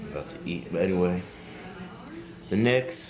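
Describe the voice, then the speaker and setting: Clear background music behind a man with a very deep, low voice, at a fairly quick pace. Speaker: vlogger. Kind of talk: casual vlog chat. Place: home room. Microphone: phone near.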